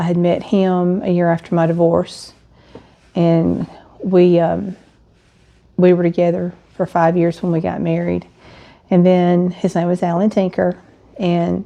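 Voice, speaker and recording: With an Alabama accent, a woman speaks at a fairly slow pace. Her tone is dark and mellow, and her pitch is fairly low. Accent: Southern US (Alabama). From US South, Alabama (St. Clair County). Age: 60s. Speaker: widow sharing her story. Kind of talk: personal testimony vlog. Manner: conversational with frequent fillers.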